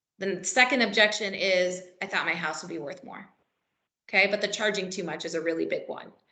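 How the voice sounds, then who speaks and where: Fairly quick speech in a bright, sharp tone with ordinary pitch variation and audible room echo. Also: woman. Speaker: real estate trainer. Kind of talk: workshop presentation. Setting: meeting room with live and virtual audience.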